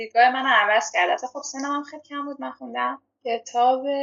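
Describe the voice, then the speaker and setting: Moderately paced speech from a woman, high-pitched and with lively intonation. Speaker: podcast guest. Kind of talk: casual chat. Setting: video call. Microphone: remote call recording, sounds different from studio.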